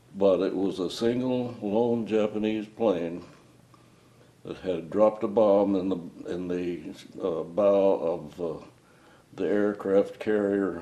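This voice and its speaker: A man with a dark, mellow tone speaks at a very slow pace with long, frequent pauses, and the room echo is audible. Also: fairly low pitch for a man, fairly even intonation. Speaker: WWII Marine veteran. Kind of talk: oral history interview.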